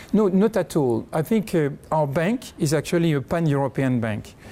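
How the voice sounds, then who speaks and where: A man speaks with a slight French accent at a moderate pace. His tone is dark and mellow. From France. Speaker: bank chief executive. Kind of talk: interview.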